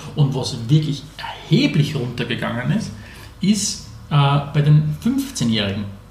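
Amid noticeable background noise and audible room echo, a man speaks at a very slow pace with long, frequent pauses. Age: 30s. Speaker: podcast co-host. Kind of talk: casual chat.

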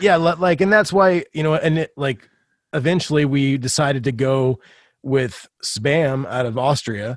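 An ordinary speaking voice moves at a moderate pace with ordinary pitch variation, captured in a very clean recording against a silent background. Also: man. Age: 40s. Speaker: punk rock musician and podcaster. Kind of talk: casual chat.

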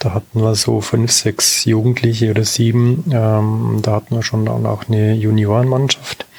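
Noticeable background noise runs under a man talking at a moderate pace. His pitch is fairly low and his intonation monotone and flat. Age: 50s. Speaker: amateur tennis player. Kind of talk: casual interview.

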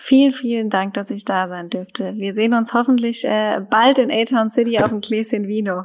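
A woman with an unremarkable speaking voice talks at a moderate pace. Her intonation is fairly even, and she hardly pauses. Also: fairly high pitch for a woman. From German wine region. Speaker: winemaker. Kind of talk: interview.

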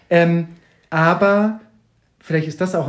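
The voice is a man's and somewhat breathy. He speaks at a moderate pace. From northern Germany, Kiel. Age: 40s. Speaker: toy collector and exhibition artist, former musical performer. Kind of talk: podcast interview. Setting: in person at guest's place in Hamburg.

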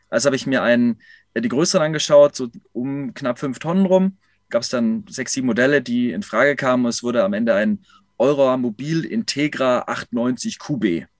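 Lively in his intonation, a man speaks at a moderate pace with a medium pitch. The recording is dry and close, with no echo. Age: 30s. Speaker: self-employed consultant living in a camper. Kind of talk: interview. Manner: halting, many fillers.

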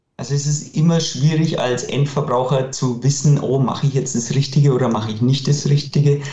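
A man's fairly high voice with fairly even intonation and audible room echo. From Franconia, Bavaria (near Nuremberg). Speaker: clothing manufacturer, company director. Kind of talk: interview.

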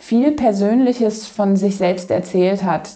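With noticeable background noise behind her, a woman speaks fairly slowly. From Germany, Kassel area (northern Hesse). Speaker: outreach worker with women in prostitution. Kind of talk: interview.

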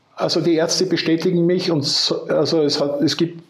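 The speech moves at a fairly slow pace. There is noticeable background noise. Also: man. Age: 60s. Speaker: retired entrepreneur and cancer patient. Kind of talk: interview testimony.

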